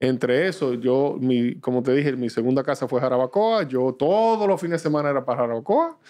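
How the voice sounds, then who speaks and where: A man's dark, mellow tone at a fairly quick pace with hardly any pauses, against a quiet background. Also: very even loudness. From Dominican Republic. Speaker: business executive; guest. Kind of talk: interview. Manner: halting. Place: studio. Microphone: studio mic.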